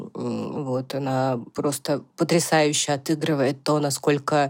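A woman's very deep, low voice with fairly even intonation, over noticeable background noise. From Russia, Siberia (Tomsk). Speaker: podcast co-host. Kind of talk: casual chat. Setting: remote recording, hosts in different countries.

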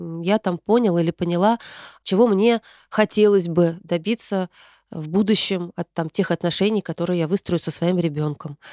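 On a very clean recording with a silent background and a dry, close sound with no echo, a woman speaks at a moderate pace with a fairly low pitch, fairly even intonation and a dark, mellow tone. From Tarusa, Kaluga region, Russia. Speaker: podcast host, psychologist. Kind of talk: solo monologue, year-end recap, reading listener messages. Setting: recorded in her hometown. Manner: warm, conversational, friendly.

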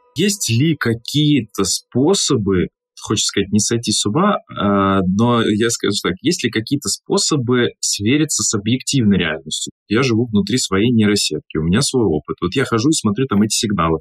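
The recording is dry and close with no echo, carrying a man's unremarkable speaking voice at a medium pitch, with lively intonation and a moderate pace. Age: 30s. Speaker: podcast host, event host and speaking mentor. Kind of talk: casual podcast chat.

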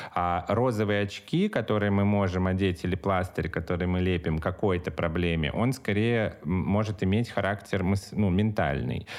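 A man speaks with a very deep, low pitch and ordinary pitch variation at a moderate pace, with hardly any pauses. His loudness is very even, and the background is quiet. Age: 30s. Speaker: meditation teacher. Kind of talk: casual chat.

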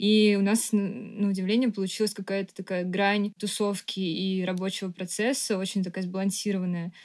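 In a very clean recording with a silent background, a woman speaks at a moderate pace in a monotone, flat intonation with hardly any pauses. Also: medium pitch for a woman. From Moscow, Russia. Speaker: architect and artist. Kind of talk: casual chat.

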